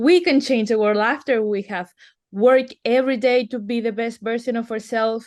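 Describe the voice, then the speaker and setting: In a quiet background, a woman with a Spanish accent speaks at a fairly high pitch and moderate pace with ordinary pitch variation. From Venezuela. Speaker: artist and activist. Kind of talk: interview.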